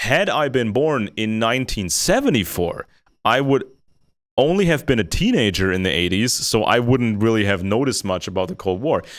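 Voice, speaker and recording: Recorded very cleanly against a silent background, a man with an American accent speaks at medium pitch and a moderate pace. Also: lively intonation. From Germany. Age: 40s. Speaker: co-host on geopolitics show. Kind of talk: casual discussion. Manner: repetitive, halting.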